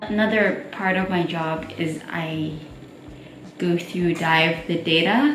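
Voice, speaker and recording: A woman speaks at a very slow pace in a fairly low pitch with ordinary pitch variation. Audible room echo and noticeable background noise fill the recording. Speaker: marine research assistant. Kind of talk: vlog narration.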